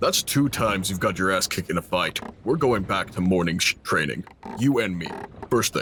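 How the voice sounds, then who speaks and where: A put-on character voice from a man, very deep and low-pitched, at a fairly quick pace. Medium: actual play. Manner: blunt, cocky.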